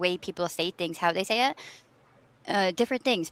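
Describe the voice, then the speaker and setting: Ordinary pitch variation in a dry, close sound with no echo. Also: woman. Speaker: podcast co-host. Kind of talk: casual chat. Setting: livestream video call. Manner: animated, expressive inflection.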